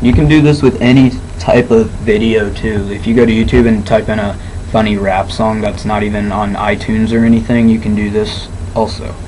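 A man talks at a fairly quick pace in a fairly low pitch, his intonation fairly even, with noticeable background noise behind him. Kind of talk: screen-recording tutorial narration. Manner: monotone.

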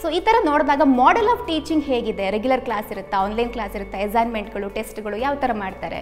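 A woman talks with a high pitch. Faint music plays in the background. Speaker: interviewer, show host. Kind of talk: interview questions. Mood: friendly, warm. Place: classroom. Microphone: handheld.

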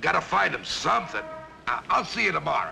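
A man does a put-on character voice at a fairly high pitch, with a bright, sharp tone and vocal fry. He talks at a fairly quick pace with big pitch swings while faint music plays in the background.

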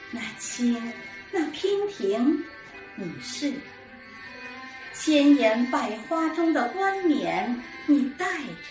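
Over clear music in the background, a woman with a high pitch speaks very slowly, with long, frequent pauses. Her pitch swings very widely and her loudness rises and falls sharply. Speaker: amateur reciter. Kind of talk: poetry reading. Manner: gentle, elegant. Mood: gentle, elegant, lyrical. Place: home room. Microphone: camera far.

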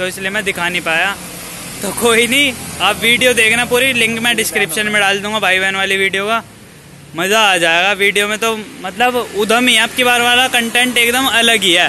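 A man's raised, projected voice at a moderate pace with fairly even intonation, dry with no echo, over light background noise. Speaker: vlogger. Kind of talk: casual vlog chat. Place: street. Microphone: phone near.

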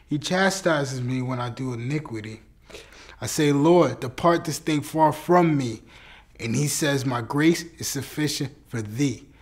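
A man's solemn, fairly high voice at a fairly slow pace, with ordinary pitch variation over a quiet background. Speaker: spoken word performer. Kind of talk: spoken word poetry. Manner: earnest, fervent, rhythmic preaching cadence; solemn, deliberate, declarative. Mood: solemn, devotional.

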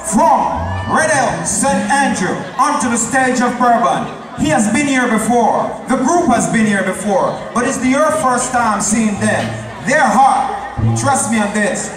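Someone shouts at a fairly slow pace over background music, with audible echo in the room. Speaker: event MC. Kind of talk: stage announcement. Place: stage.

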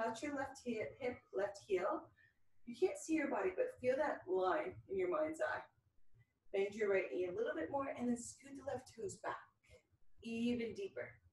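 A high-pitched woman speaks at a moderate pace with lively intonation. Room echo is audible around her. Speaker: fitness instructor. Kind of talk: workout instruction. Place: home room. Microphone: camera far.

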